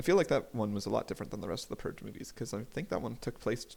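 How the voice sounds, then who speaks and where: The speaker is a man. His voice is medium in pitch. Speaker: podcast host. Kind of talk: casual solo monologue. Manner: fast; casual, with frequent fillers.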